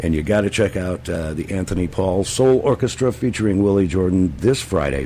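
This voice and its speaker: Noticeable background noise sits behind a man with a very deep, low voice. He talks at a moderate pace with lively intonation. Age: 70s. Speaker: radio host. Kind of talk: casual chat.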